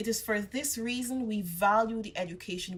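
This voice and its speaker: Her intonation is lively as a woman talks. She keeps a moderate pace, her voice somewhat breathy. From Guyana. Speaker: graduate. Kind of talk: commencement speech.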